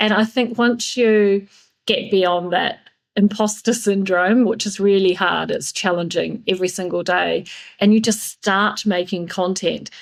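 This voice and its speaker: Woman in a New Zealand accent, medium pitch, fairly slow pace and fairly even intonation. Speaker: yachting PR and marketing consultant. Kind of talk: podcast interview.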